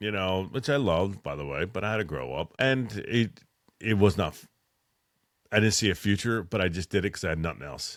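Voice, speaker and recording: A man's fairly low voice with vocal fry and an animated tone, in a Philadelphia accent, at a moderate pace on a very clean recording with a silent background. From Philadelphia, US. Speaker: military veteran and electrician. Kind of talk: casual podcast monologue.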